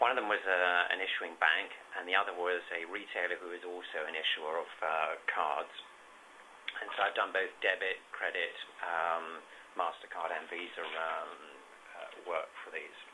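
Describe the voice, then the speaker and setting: A man with a British accent talks at a moderate pace, his loudness rising and falling sharply. Noticeable background noise runs underneath. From UK. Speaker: payments consultant. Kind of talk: webinar presentation. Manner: hesitant, many fillers.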